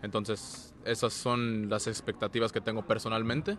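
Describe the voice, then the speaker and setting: A man's fairly low, monotone voice with flat intonation at a moderate pace, dry with no echo, over light background noise. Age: 20s. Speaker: professional soccer goalkeeper. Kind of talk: interview. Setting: stadium, team presentation event. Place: stadium. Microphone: handheld.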